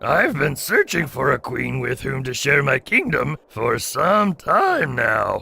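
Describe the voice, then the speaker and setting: A raspy, put-on character voice runs at a fairly slow pace with hardly any pauses. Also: man. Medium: audio drama. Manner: haughty, commanding.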